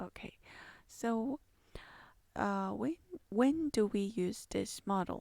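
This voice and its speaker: A soft-spoken woman with a dark, mellow tone and medium pitch, lively intonation, a very slow pace and long, frequent pauses, in a very clean recording with a silent background. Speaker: university lecturer. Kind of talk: lecture. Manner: quiet, speaking softly; hesitant, many fillers.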